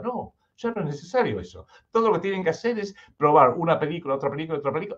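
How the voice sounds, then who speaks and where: His pitch swings very widely throughout. The speaker is a man. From United States until 16, then Argentina. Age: 60s. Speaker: political researcher. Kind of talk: radio interview.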